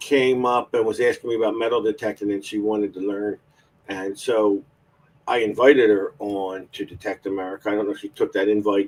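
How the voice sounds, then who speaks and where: This man has an unremarkable speaking voice, fairly low in pitch, moving at a fairly quick pace with fairly even intonation. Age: 50s. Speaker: metal detecting show host. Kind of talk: casual chat. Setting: live stream.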